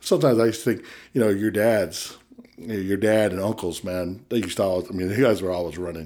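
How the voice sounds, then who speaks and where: A man with an American accent, fairly low and dark, mellow in tone, at a very fast pace, on a very clean recording with a silent background. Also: ordinary pitch variation. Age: 40s. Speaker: ministry worker. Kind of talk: casual chat. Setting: studio.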